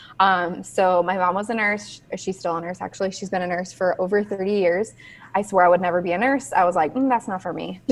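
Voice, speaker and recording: Here is a woman with an American accent and a medium pitch. Her intonation stays fairly even. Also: fairly quick pace. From Southern California. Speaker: nurse and personal finance educator. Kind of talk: casual interview.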